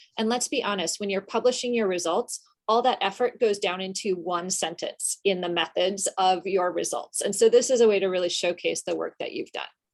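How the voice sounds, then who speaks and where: A woman at medium pitch in a normal speaking voice, fairly quick and with hardly any pauses, her pitch varying in an ordinary way. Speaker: journal editor and workshop presenter. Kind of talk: workshop presentation. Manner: casual with many filler ums.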